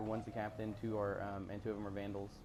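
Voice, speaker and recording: A man speaks quietly at a very fast pace, with audible room echo. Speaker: gaming YouTuber. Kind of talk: let's play commentary. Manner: halting.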